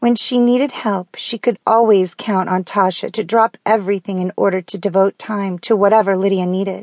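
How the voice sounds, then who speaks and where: A woman talks at a moderate pace with hardly any pauses, in an ordinary speaking voice of medium pitch. Her intonation is fairly even, and the sound is dry and close with no echo over a quiet background. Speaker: audiobook narrator. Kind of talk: audiobook narration, reading aloud. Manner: smooth, even storytelling pace.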